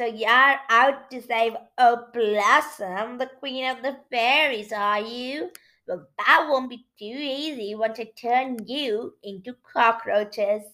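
Putting on a character voice, a woman cackles at a high pitch and speaks at a fairly slow pace. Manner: gloating, cackling, menacing.

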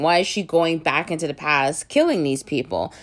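A woman talks in a normal speaking voice at a fairly low pitch and a moderate pace, with ordinary pitch variation. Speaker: podcast host reviewing films. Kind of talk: casual solo review. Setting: home recording during quarantine.

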